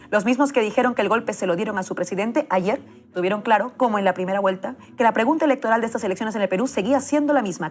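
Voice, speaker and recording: A woman's fairly high, lively voice with a Peruvian accent at a very fast pace, over noticeable background noise. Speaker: political journalist. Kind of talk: political editorial. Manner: impassioned.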